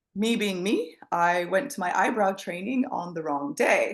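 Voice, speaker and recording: A woman with a medium-pitched voice talks at a moderate pace, her intonation lively. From Canada. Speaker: scalp micropigmentation specialist and trainer. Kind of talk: interview. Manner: casual, chatty.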